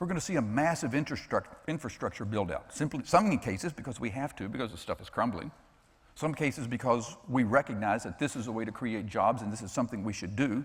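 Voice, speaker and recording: Talking very fast in an animated tone, a man with an American accent and a medium pitch sounds somewhat breathy, with lively intonation and big swings in loudness. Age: 60s. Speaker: financial expert and author. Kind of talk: conference talk.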